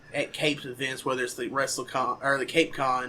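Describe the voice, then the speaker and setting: A man with a Southern US accent talks at a moderate pace in a medium pitch, his tone bright and sharp. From southern Missouri. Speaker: podcast host. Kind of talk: casual chat.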